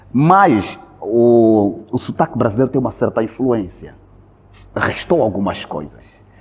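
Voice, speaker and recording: Lively intonation carries the fairly slow speech, with noticeable background noise behind it. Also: man, medium pitch for a man. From Angola. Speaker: Angolan immigrant in Brazil, video creator. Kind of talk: casual interview conversation. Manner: halting, repeats words.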